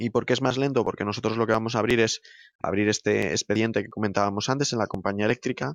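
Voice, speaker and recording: This man races along at a very fast pace, his medium-pitched voice showing ordinary pitch variation. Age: 30s. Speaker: operations director of an EV charging installer. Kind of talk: interview. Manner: hesitant, with fillers and repetitions.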